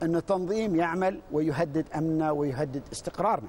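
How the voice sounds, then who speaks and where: Light background noise behind a man's high-pitched voice with ordinary pitch variation. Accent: Emirati. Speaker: university director. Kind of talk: TV panel discussion. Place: studio. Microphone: lapel.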